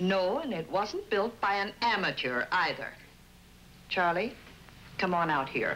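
With music in the background, a woman speaks at a fairly slow pace while her pitch swings very widely. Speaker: actress playing a mother. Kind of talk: scripted drama dialogue. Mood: scolding, insistent. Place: home room. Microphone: old recording.

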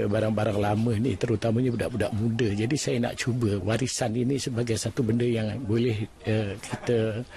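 A man's voice, somewhat breathy, with a dark, mellow tone. Light background noise sits behind it. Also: dry sound with no echo. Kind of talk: interview answer. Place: workshop. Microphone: handheld.

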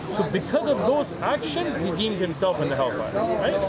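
Over crowd noise in the background, a man talks at a very fast pace. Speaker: street preacher. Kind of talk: explanatory religious talk to a visitor. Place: street.

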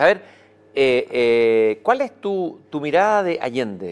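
Lively intonation from a man. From Chile. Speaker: interviewer. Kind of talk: interview. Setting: live event in a hall. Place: stage. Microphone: lapel.

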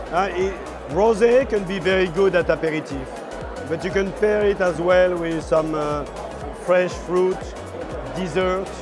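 Over clear music in the background, a man with a high pitch and fairly even intonation talks at a fairly slow pace, leaving long, frequent pauses. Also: dry sound with no echo. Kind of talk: interview answer. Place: hall.

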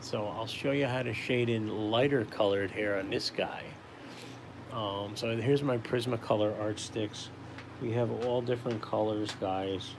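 Medium-pitched male speech at a moderate pace, with fairly even intonation, against noticeable background noise. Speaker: caricature artist livestreamer. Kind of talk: casual live drawing stream. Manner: casual, chatty, friendly. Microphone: phone near.

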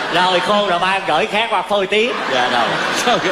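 Loud background noise sits behind a man talking at a fairly slow pace. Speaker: comedic actor playing a farmer's son. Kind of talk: comedy sketch dialogue. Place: stage. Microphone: headset.

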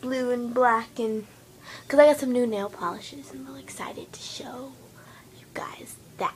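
A fairly slow speaker comes through over light background noise. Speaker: vlogger. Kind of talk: casual vlog chat. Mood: playful, silly. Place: home room. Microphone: phone near.

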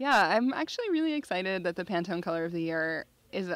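In a normal speaking voice, a woman with a fairly low pitch talks at a moderate pace, the sound dry with no echo. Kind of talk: interview answer. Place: garden. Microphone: handheld.

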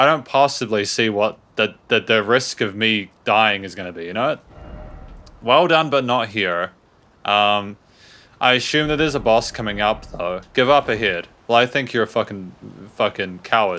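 Speaking at a moderate speed, a man has a bright, sharp tone. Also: fairly low pitch for a man, ordinary pitch variation. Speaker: gaming YouTuber. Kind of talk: let's play commentary. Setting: home recording with webcam. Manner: animated.

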